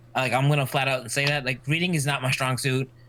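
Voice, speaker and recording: With noticeable background noise behind him, a man talks at a fairly quick pace in a fairly high pitch. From US, Mexican family. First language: Spanish. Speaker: streamer. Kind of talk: casual chat.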